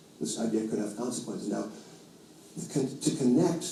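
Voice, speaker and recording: Audible room echo surrounds a man with an American accent. His medium-pitched voice has lively intonation. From New York. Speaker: financial commentator. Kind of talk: interview. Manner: halting, many fillers and restarts.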